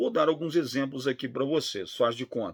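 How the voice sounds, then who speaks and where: A man speaks with a Brazilian accent. His pitch is medium and his pace moderate. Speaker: law professor. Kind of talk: lecture.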